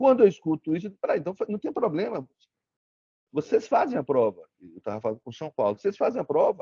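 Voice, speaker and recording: A man with a strong northeastern Brazilian accent talks at a very fast pace with big swings in loudness, in a dry, close sound with no echo. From Brazil, Sergipe interior (Propriá). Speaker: lawyer, guest lecturer. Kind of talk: lecture. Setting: video call. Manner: repetitive false starts.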